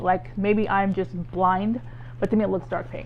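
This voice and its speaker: A woman's medium-pitched voice with vocal fry. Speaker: beauty YouTuber. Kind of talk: casual unboxing vlog. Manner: rambling, hesitant with fillers; halting speech from fibromyalgia.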